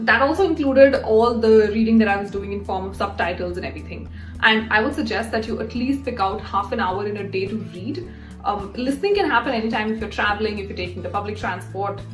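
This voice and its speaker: Music plays in the background as a woman talks at a very fast pace with big swings in loudness. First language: not English. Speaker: YouTuber, career and English-learning advice. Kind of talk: casual talk to camera.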